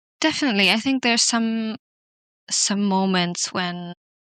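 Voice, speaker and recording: A woman with a non-native accent speaks in a bright, sharp tone. The sound is dry and close with no echo over a quiet background. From non-English-speaking country, schooled in Switzerland from age 11. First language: not English. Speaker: podcast guest. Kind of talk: casual interview conversation. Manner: hesitant, many fillers.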